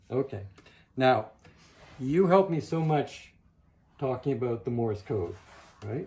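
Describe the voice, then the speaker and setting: A man with a medium pitch and a dark, mellow, somewhat breathy tone talks at a fairly slow pace. His intonation is lively, broken by long, frequent pauses. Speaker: novelist. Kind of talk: casual conversation.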